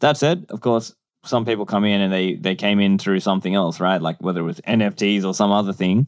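With an Australian accent, a man speaks at a fairly quick pace. His pitch is fairly low, with ordinary variation. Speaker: podcaster and bitcoin advocate. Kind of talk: interview.

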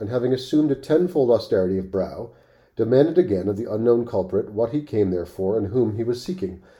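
The reading voice sounds natural, and the intonation is lively.

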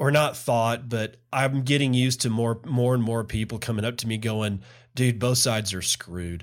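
A man with an American accent speaks at a moderate pace, medium in pitch with ordinary pitch variation, in a plain, everyday voice. The recording is very clean, with a silent background. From Texas. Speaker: podcast host. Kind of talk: solo podcast commentary. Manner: casual, rambling with self-corrections.

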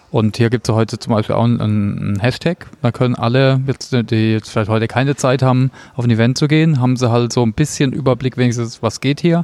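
With a plain, everyday voice, a man speaks at a medium pitch and a fairly quick pace, with hardly any pauses, very even loudness and fairly even intonation, the sound dry and close with no echo. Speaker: podcast host. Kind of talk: interview. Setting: cafeteria at a conference.

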